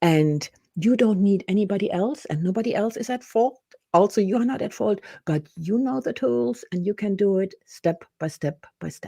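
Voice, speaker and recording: Dark and mellow in tone, this voice moves at a moderate pace with lively intonation, recorded dry and close with no echo. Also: woman, medium pitch for a woman. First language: German. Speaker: business and personal development coach. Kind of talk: interview. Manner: halting.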